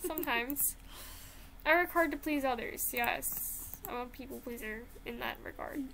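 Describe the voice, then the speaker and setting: Amid noticeable background noise, a woman with a high pitch uses a raised, projected voice at a moderate pace, with ordinary pitch variation, big swings in loudness and long, frequent pauses. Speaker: YouTuber taking a personality test. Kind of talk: casual chat.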